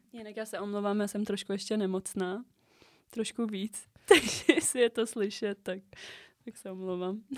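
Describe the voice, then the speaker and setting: A woman uses an ordinary speaking voice at a medium pitch and a moderate pace. Her intonation stays fairly even, while her loudness swings widely. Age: 20s. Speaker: podcast co-host. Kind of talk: casual chat.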